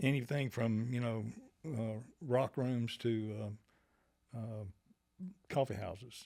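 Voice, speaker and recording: With a Southern US accent, a man speaks in a dark, mellow tone, leaving long, frequent pauses. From US South, Georgia (Monroe). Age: 70s. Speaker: musician. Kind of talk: interview. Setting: studio. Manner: halting, many fillers.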